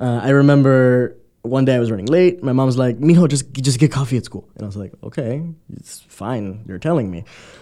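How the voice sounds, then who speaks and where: This man talks at a fairly quick pace and medium pitch in a dark, mellow tone. His pitch varies in an ordinary way, while his loudness swings widely. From Miami. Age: 20s. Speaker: immigrant interviewee. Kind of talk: interview.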